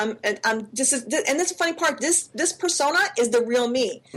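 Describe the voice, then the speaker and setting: Against noticeable background noise, a woman speaks at a high pitch with lively intonation. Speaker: podcast co-host. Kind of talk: casual chat. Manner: animated.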